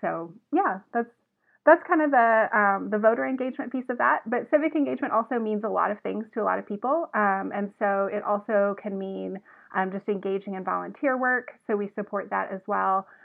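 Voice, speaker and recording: A woman with an American accent has an unremarkable speaking voice at a medium pitch. She talks at a fairly quick pace with lively intonation. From US South, Augusta, Georgia. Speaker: university service learning director. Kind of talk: casual interview.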